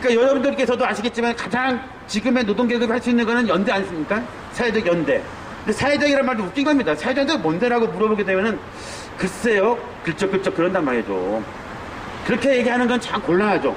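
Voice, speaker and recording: Extremely high in pitch for a man, he speaks at a very fast pace with ordinary pitch variation and very even loudness, amid noticeable background noise and audible room echo. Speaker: university professor. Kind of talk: street lecture. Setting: outdoors at a protest sit-in site. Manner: stutters at times.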